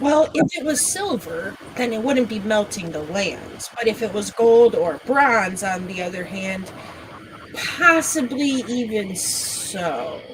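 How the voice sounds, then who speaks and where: At a fairly slow pace, a female-sounding put-on character voice with fairly high pitch comes through over clear background noise. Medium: actual play. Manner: worried, wordy.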